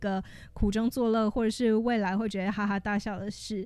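A woman with an unremarkable speaking voice talks at a moderate pace and fairly high pitch on a very clean recording with a silent background. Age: 20s. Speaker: podcast host. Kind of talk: casual solo podcast monologue.

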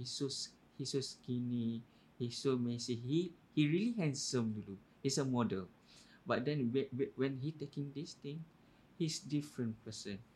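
A man with a dark, mellow, somewhat breathy tone, medium pitch and ordinary pitch variation, at a very slow pace with long, frequent pauses. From Malaysia, Kelantan. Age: 30s. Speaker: podcast guest. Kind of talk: casual chat.

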